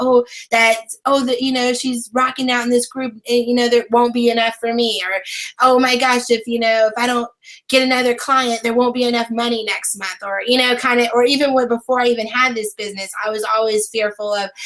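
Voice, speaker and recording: Loud and fairly quick, a woman speaks at a high pitch with monotone, flat intonation. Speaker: online brand and business strategist. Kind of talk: interview.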